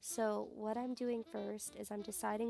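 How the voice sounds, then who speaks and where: Over music in the background, a woman speaks at a fairly slow pace with a fairly high pitch. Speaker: burlesque performer and sewing tutorial creator. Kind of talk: tutorial. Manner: casual and chatty.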